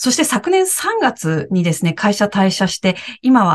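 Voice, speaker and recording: This woman's voice sounds somewhat breathy. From Japan, Aichi. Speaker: podcast co-host, former TV announcer and director. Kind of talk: casual chat.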